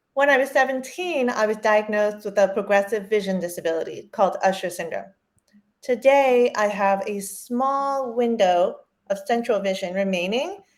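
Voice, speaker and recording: A woman with an American accent speaks at a moderate pace in an ordinary speaking voice, her fairly high pitch showing ordinary pitch variation. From Maryland, US. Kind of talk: interview.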